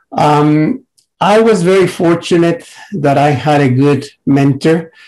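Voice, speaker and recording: A man's fairly high voice in a Mexican accent, very slow, with ordinary pitch variation and very even loudness. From Mexico. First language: Spanish. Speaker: psychiatrist and researcher. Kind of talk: panel presentation. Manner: halting, many fillers.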